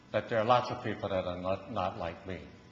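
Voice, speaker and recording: Audible room echo surrounds a man's voice. His pitch varies in an ordinary way. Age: 80s+. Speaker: pastor. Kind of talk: sermon. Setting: church. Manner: halting.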